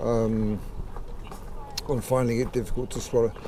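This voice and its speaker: A man keeps his intonation fairly even while noticeable background noise carries on. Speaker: person with Parkinson's. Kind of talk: interview answer. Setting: outdoors. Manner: slow, halting.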